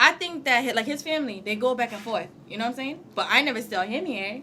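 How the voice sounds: Speaking at a fast pace, a woman has a bright, sharp tone, a fairly high pitch, and lively intonation.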